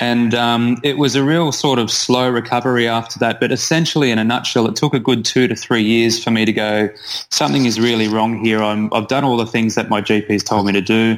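An Australian accent at a fairly quick pace, with fairly even intonation and very even loudness. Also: man, medium pitch for a man. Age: 30s. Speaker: naturopath. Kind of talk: interview.

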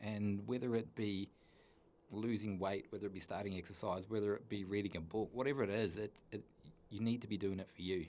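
Fairly even in intonation, a man speaks with a fairly low pitch. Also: fairly quick pace. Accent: New Zealand. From New Zealand, North Island. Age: 40s. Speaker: mature university student sharing recovery story. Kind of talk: personal testimony in interview.

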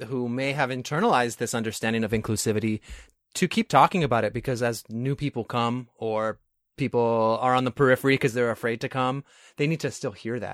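A man with an American accent uses a normal speaking voice at medium pitch and a fairly quick pace, captured in a very clean recording with a silent background and a dry, close sound with no echo. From New York. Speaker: podcast host. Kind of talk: casual interview conversation.

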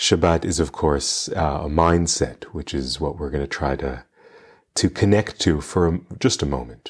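A man talks at a very deep, low pitch with vocal fry. His tone is calm and gentle. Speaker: meditation guide podcast host. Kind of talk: guided meditation. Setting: live Zoom gathering, recorded. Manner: calm, gentle, slow-paced, soothing; warm, addressing listeners as dear friends.

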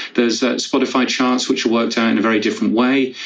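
A man speaks over noticeable background noise. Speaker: podcast news editor. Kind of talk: panel discussion. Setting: Clubhouse audio room.

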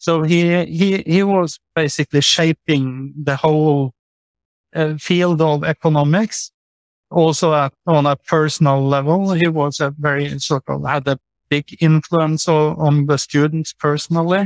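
Recorded with a dry, close sound and no echo, the voice keeps a very even loudness and fairly even intonation at a fairly slow pace. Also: man, fairly high pitch for a man. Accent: Norwegian. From Norway. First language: Norwegian. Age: 50s. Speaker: author and lawyer. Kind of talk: casual interview conversation.

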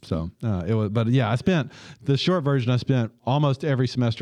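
A man with a Southern US accent speaks at a fairly quick pace in a dark, mellow tone. The sound is dry and close with no echo, over a quiet background. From US South, Tupelo, Mississippi. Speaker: dentist running a community clinic. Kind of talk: interview.

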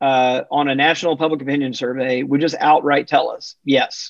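A man speaks in a normal speaking voice, fairly high-pitched, with ordinary pitch variation, an American accent and a moderate pace. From US South, Mississippi. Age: 50s. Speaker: religion researcher and author. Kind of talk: interview.

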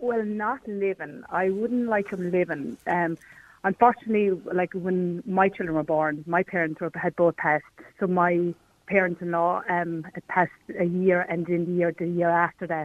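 Someone speaks with an Irish accent at a moderate pace, with ordinary pitch variation. The sound is dry and close, with no echo. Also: woman, fairly low pitch for a woman. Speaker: caller. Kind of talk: radio phone-in discussion. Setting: phone call.

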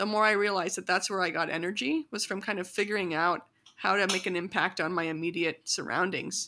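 Bright and sharp in tone, a woman with a Midwestern American accent speaks at a medium pitch with ordinary pitch variation on a very clean recording with a silent background. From US Midwest, small-town Illinois. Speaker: community organizer. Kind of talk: casual interview.

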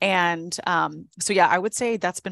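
The speaker talks at a fairly quick pace in a dry, close sound with no echo, using a plain, everyday voice. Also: woman. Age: 20s. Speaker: stylist and energy reader. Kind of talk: casual chat.

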